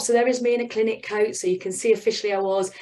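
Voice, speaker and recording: A woman with a British accent talks very fast at a fairly high pitch. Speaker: business mentor. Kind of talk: presentation. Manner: animated.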